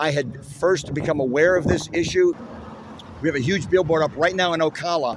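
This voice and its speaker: A man speaks at a fairly quick pace with a fairly high pitch and fairly even intonation over noticeable background noise. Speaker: activist protester. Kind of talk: street interview.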